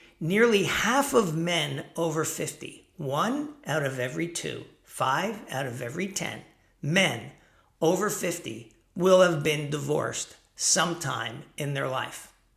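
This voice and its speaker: A man talks at a fairly slow pace. His pitch is fairly high, and audible room echo surrounds it. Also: lively intonation. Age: 60s. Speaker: self-help vlogger for men over 50. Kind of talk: casual talking-head monologue. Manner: conversational, with fillers.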